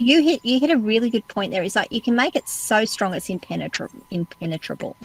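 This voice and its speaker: A woman with an Australian accent speaks with lively intonation, her sound dry and close with no echo, though there is noticeable background noise. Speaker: podcast host. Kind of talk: interview.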